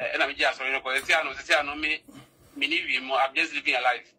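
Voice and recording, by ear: The voice has a bright, sharp tone with a slightly husky edge. It moves at a fast pace with fairly even intonation. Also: man, medium pitch for a man.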